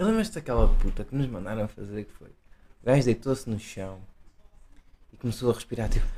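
Speaking with a Portuguese accent, a man with a dark, mellow tone and medium pitch moves at a fairly quick pace, with ordinary pitch variation, big swings in loudness and long, frequent pauses. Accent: non-Porto Portuguese. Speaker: podcast co-host. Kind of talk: casual chat.

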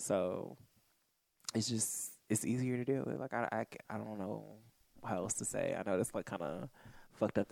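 With vocal fry and an animated tone, the speaker holds a moderate pace broken by long, frequent pauses. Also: man. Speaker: podcast co-host. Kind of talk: casual chat. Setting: studio. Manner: monotone; animated laugh.

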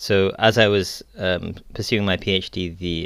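On a very clean recording with a silent background, a man with a British accent speaks in a very deep, low voice. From England. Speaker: academic, Islamic studies scholar. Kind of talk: interview.

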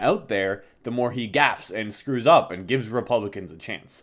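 Lively intonation marks this man's unremarkable speaking voice, which sits at a medium pitch and moves at a moderate pace. The recording is very clean, with a silent background. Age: 20s. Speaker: political podcast host. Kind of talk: casual political discussion.

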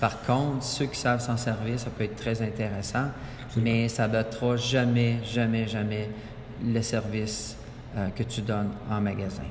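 A man at medium pitch speaks at a fairly slow pace in a monotone, flat intonation, with long, frequent pauses. The room echo is audible, and there is noticeable background noise. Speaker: business owner. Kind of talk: interview. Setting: sports complex.

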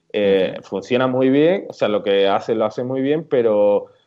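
The speaker talks at a fairly slow pace in an Andalusian accent. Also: man. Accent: southern Spanish (Andalusian). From Andalusia, Córdoba. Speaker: WooCommerce plugin developer and blogger. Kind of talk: casual interview.

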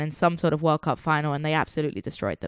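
This woman speaks with an English accent, and the sound is dry and close with no echo. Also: very clean recording, silent background. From England. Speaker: soccer podcast co-host. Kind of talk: casual chat. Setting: home living room studio.

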